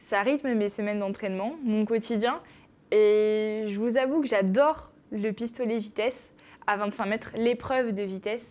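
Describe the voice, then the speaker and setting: A woman speaks in a plain, everyday voice, pitched fairly high. Her pace is fairly slow and her intonation fairly even. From northern France, Picardy (Noyon). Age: 20s. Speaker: sport shooter, athlete. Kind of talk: interview.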